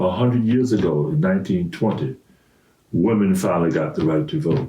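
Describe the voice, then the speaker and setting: Speaking at a fairly quick pace with an American accent, a man with a fairly low pitch and a dark, mellow, somewhat breathy tone makes very wide pitch swings while keeping his loudness very even. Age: 80s+. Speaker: grandfather. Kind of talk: casual chat.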